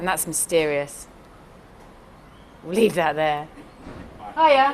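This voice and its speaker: Speaking with a southern English accent at a very slow pace, a woman uses a fairly low pitch and very wide pitch swings. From London. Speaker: executive assistant. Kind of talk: interview answers. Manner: halting.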